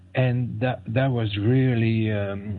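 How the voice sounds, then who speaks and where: A man with a French accent speaks at a very slow pace. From France. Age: 60s. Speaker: fasting advocate and author. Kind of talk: interview. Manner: halting.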